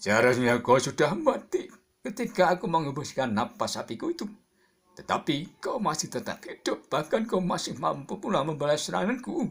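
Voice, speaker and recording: A man's put-on, growling character voice, high-pitched with very wide pitch swings, at a moderate pace. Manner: growling, angry.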